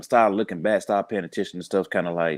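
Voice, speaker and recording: This voice carries a Southern US accent. The recording is very clean, with a silent background. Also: man, dry, close sound with no echo. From US South, Birmingham, Alabama. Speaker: police officer and podcaster. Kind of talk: casual interview.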